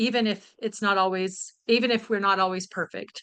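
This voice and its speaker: A loud voice with a bright, sharp tone. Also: woman. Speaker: guest speaker; teacher. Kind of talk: talk over video call. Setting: video call.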